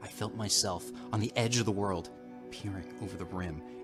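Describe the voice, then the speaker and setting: Music plays in the background. A man with a very deep, low pitch speaks at a moderate pace. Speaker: narrator and channel host. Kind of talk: dramatic horror reading of a classic short story. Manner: atmospheric, dramatic.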